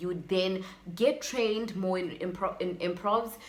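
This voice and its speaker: A woman talks at a fairly quick pace with a medium pitch and ordinary pitch variation. There is audible room echo and noticeable background noise. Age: 20s. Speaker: YouTuber and aspiring actress. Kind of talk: casual vlog advice talk.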